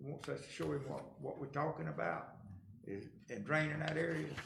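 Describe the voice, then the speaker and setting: A man talks at a fairly quick pace in a rural Georgia accent. Room echo is audible, and there is noticeable background noise. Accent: Southern US (rural Georgia). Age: 70s. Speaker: county commission chairman. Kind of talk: meeting discussion. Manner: casual, folksy.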